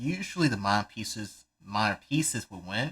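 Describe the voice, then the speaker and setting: At a moderate pace, a man with a fairly low pitch and a bright, sharp tone is heard in a very clean recording with a silent background. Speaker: chess coach. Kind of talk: live stream chess commentary. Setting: live stream. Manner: stuttering, rambling.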